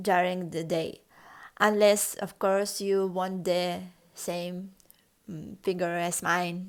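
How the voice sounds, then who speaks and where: In a very clean recording with a silent background, a woman with a Russian accent speaks at a medium pitch and a very slow pace in a monotone, flat intonation. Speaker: lifestyle vlogger. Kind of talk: casual vlog tutorial. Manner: halting, with fillers.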